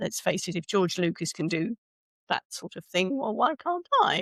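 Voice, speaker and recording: Speaking at a fairly quick pace in a British accent, a woman with a medium pitch comes through dry and close with no echo on a very clean recording with a silent background. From UK. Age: 60s. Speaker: speaker coach and author. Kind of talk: podcast interview. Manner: halting, many restarts.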